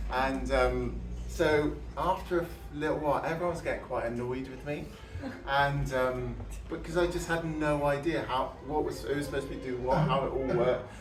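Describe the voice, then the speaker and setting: A man is speaking with audible room echo. Noticeable background noise runs underneath. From southern England (Kent, then Somerset Mendips). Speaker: preacher. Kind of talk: sermon. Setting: church. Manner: halting, many fillers and restarts.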